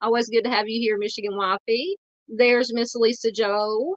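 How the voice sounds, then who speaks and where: A woman speaks with a Southern accent at a moderate pace. Her voice is fairly high. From US South, Arkansas. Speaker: true crime YouTuber. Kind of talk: live stream chat. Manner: halting, many fillers.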